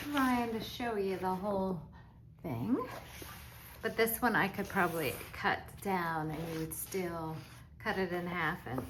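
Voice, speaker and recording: A woman talks at a medium pitch, leaving long, frequent pauses. Audible room echo surrounds her voice. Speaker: crafter selling supplies online. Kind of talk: product show-and-tell video. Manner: slow, deliberate pacing; casual, chatty.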